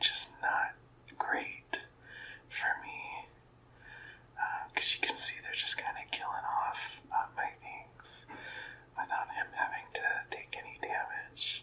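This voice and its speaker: A man whispers at a very slow pace, leaving long, frequent pauses. Noticeable background noise runs underneath. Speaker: ASMR content creator. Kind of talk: ASMR gaming show and tell. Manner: whispered, soft-spoken.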